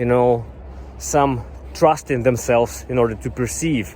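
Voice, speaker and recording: A man with a Russian accent at a moderate pace. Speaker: YouTuber, software developer career advisor. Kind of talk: vlog-style talk to camera. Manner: some hesitations and fillers.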